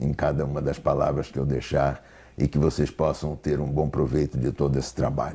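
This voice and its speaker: A man speaks with a very deep, low pitch and a dark, mellow tone. Vocal fry runs through his voice. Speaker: therapist. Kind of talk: lecture. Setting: online congress talk. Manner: halting.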